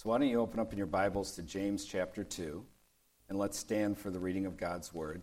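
A man with an American accent and an ordinary speaking voice talks at a moderate pace, his fairly low pitch moving with ordinary variation. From US Midwest, Detroit. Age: 60s. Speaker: pastor. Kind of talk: sermon.

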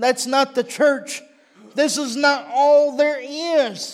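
A very slow pace in a Texan accent. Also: man. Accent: Texan US Southern. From Texas. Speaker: visiting preacher. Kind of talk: sermon. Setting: church.

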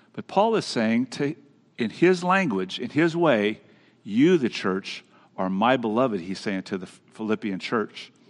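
At a fairly slow pace, a man with a medium pitch speaks in very wide pitch swings. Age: 60s. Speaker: pastor. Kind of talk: sermon.

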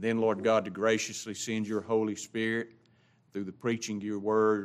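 A man with a Southern US accent speaks at a moderate pace in a fairly low pitch. The recording is very clean, with a silent background. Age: 60s. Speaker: pastor. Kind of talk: church announcements. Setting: church. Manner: casual.

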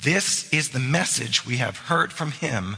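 Very slow delivery with lively intonation. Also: man. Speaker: pastor. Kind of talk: sermon. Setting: church.

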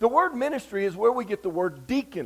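A man's high voice in a Southern US accent, full of very wide pitch swings. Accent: Southern US (Georgia). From US South, Georgia. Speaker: revival preacher. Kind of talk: sermon.

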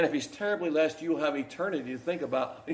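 Fairly high male voice, with noticeable background noise and audible echo from the room. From Kentucky. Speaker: pastor. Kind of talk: sermon; prayer.

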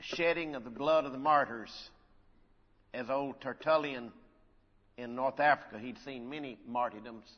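Speaking at a moderate pace and a medium pitch, a man keeps his intonation fairly even. His loudness swings widely, and his pauses are long and frequent. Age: 60s. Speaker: preacher. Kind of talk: sermon. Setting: church.

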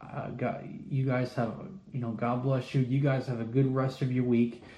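A man speaks at medium pitch with monotone, flat intonation. Audible room echo surrounds the voice. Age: 30s. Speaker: lay preacher. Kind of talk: bible study.

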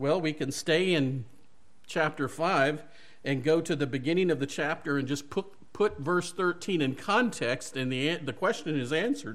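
Speaking in a Southern US accent, a man talks at a moderate pace with a fairly high pitch and ordinary pitch variation. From US South (Mississippi). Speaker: preacher. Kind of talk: sermon. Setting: church.

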